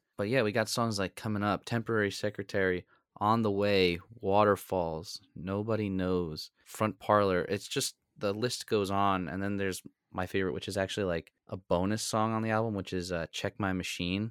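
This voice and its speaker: In a dry, close sound with no echo on a very clean recording with a silent background, a man with a plain, everyday voice speaks at a moderate pace, fairly low in pitch and fairly even in intonation. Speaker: podcast co-host. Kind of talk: casual chat.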